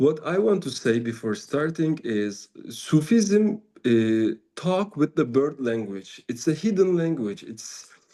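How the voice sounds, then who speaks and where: Speaking at a very slow pace in a Turkish accent, a man with a fairly high pitch and dark, mellow tone makes very wide pitch swings. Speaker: Sufi teacher and musician. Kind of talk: spiritual talk. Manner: halting.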